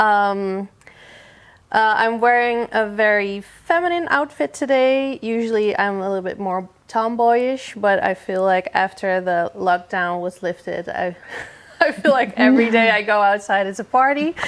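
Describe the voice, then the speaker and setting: With lively intonation, a plain, everyday voice goes at a fairly slow pace. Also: woman, fairly high pitch for a woman. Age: 30s. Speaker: photographer and art director. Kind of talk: casual chat.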